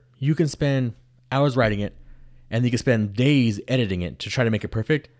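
A man's voice, with typical rises and falls in pitch, comes through a very clean recording with no background sound at all. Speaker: podcast co-host. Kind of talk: casual chat. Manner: fast talker.

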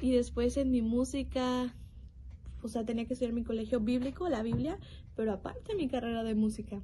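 A woman's fairly high voice, dark and mellow in tone, at a fairly quick pace with fairly even intonation. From Mexico, Nuevo León. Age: young. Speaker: bible college student giving a devotional. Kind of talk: devotional testimony.

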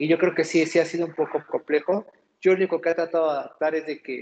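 High pitch and fairly even intonation from a man. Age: 30s. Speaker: café owner. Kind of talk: interview.

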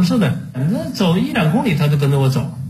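A man speaks at a fairly quick pace with a fairly high pitch. Noticeable background noise and audible room echo fill the recording. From Jilin, northeast China. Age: 60s. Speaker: farmer and wildlife photographer. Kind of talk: casual chat.

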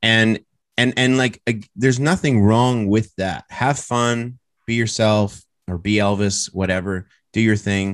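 This man has an unremarkable speaking voice with a Canadian accent, medium pitch, and ordinary pitch variation at a fairly slow pace. The sound is dry and close, with no echo. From Canada. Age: 30s. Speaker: country music artist. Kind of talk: casual chat.

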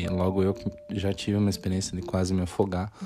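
There is music in the background. The man's voice sits at a fairly low pitch. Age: 30s. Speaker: solo podcaster. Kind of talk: casual monologue. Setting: bedroom at home.

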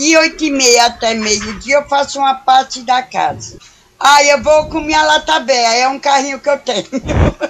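A woman talks at a fairly slow pace in a high voice with ordinary pitch variation. Noticeable background noise is present. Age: 50s. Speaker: day cleaner. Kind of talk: interview answers.

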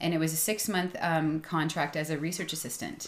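A woman with a Canadian accent speaks at a fairly quick pace in a fairly low voice, an unremarkable speaking voice. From suburban Ontario. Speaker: biologist and gardening business owner. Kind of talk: casual interview. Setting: home studio.

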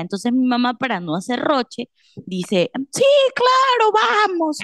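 A woman's high pitch, very wide pitch swings and fairly slow pace, in a dry, close sound with no echo. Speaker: podcast co-host. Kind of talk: casual chat.

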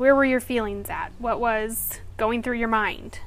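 A woman speaks at a high pitch and a moderate pace. Her intonation stays fairly even. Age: 30s. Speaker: podcast host. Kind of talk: scripted introduction; casual chat.

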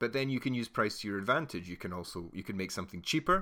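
In a very clean recording with a silent background, a man with a fairly low pitch sounds enthusiastic, his bright, sharp tone carried by lively intonation. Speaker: podcast host and marketer. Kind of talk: educational solo monologue. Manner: not particularly animated, earnest; enthusiastic, explanatory.

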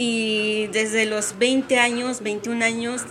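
Noticeable background noise is present throughout. The speaker is a woman. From Mexico, Oaxaca. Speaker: café owner and coffee roaster. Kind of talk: interview, casual chat.

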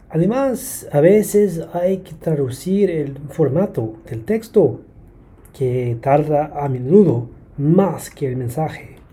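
A man speaks very slowly in a fairly high voice with lively intonation. Noticeable background noise runs behind him. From Brisbane, Australia. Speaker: translator and language teacher. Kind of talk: interview.

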